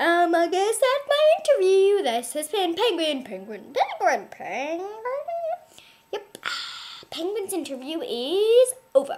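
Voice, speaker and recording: A cartoonish character voice at an extremely high pitch, fairly slow in pace, with very wide pitch swings. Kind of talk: comedic puppet interview.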